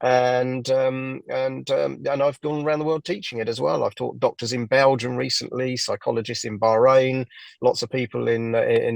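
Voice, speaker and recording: A man with an English accent talks at a moderate pace, with hardly any pauses. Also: dry, close sound with no echo. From southern England, near London. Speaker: hypnotherapist. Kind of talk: interview. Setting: podcast interview. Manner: halting, many fillers.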